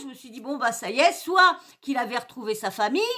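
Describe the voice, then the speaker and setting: A woman projects a raised voice with a bright, sharp tone and lively intonation, at a moderate pace over a quiet background. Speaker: youtuber. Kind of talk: angry rant, indignant story-time vent about a hurtful comment; casual chat. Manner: agitated, indignant, emphatic; rambling, hesitant, many fillers and repetitions. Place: home room. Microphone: webcam.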